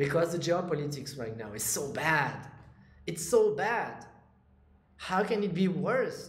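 A man's high-pitched voice at a fairly slow pace, with long, frequent pauses. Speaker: crypto YouTuber and trader. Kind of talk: monologue to camera, casual vlog. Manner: casual, hesitant with fillers.

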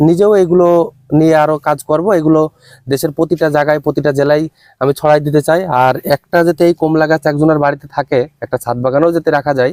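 A man with a plain, everyday voice and a fairly high pitch speaks with fairly even intonation and very even loudness, in a dry, close sound with no echo. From Bangladesh, Chuadanga district. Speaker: agricultural entrepreneur, orange grower. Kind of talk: on-site interview.

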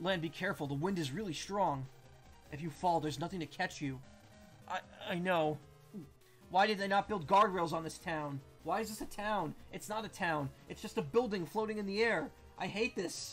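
Long, frequent pauses break up the speech while faint music plays in the background. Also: man, ordinary pitch variation, moderate pace. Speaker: game streamer. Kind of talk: casual gameplay commentary.

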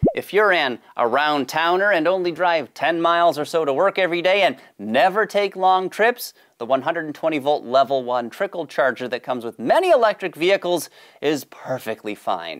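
The background is silent. A man speaks at a moderate pace. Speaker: show host. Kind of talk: explainer presentation. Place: studio. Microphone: lapel.

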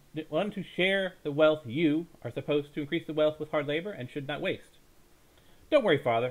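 A man is speaking. His pace is very fast. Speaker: storyteller. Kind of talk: dramatic bedtime story reading. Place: home room. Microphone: headset.

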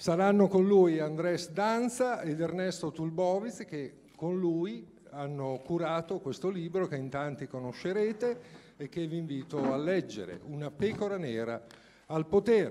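Light background noise sits behind a man who talks at a fairly slow pace in a high voice. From Italy. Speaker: mayor. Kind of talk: welcome speech. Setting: stage with audience. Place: hall.

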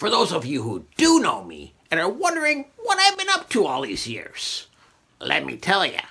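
Someone uses a put-on character voice with a pompous tone at a moderate pace. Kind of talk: comic character monologue. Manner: pompous, self-satisfied, goofy.

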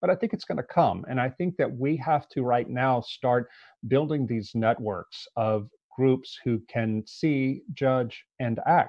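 Speaking with an American accent, a man keeps to a fairly slow pace. The sound is dry with no echo, over a quiet background. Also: ordinary pitch variation. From US South, Louisiana. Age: 50s. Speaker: author and journalist; guest. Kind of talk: interview. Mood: earnest, serious. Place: home room. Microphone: earbuds.

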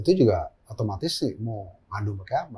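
Here a man speaks at a moderate pace. His voice is somewhat breathy with lively intonation. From Jakarta, Indonesia. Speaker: gynecologist and fertility doctor; guest. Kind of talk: interview conversation. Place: studio.

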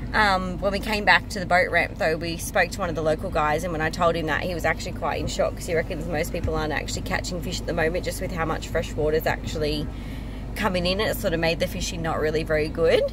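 A woman speaks very fast. The sound is dry with no echo, though background noise is noticeable. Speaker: travel vlogger. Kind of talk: casual vlog chat. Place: car. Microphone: phone near.

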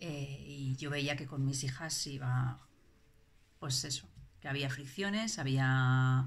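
The voice is somewhat breathy, with ordinary pitch variation. The pace is very slow, broken by long, frequent pauses. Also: woman, very deep, low pitch for a woman. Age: 40s. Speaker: parent giving a testimonial. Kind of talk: testimony; testimonial interview answer. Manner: halting, many fillers and repetitions. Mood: reflective, calm. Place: home room. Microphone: phone near.

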